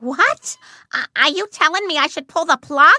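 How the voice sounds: A woman does a squeaky, cartoonish character voice at an extremely high pitch with ordinary pitch variation. She keeps a moderate pace in a dry, close sound with no echo.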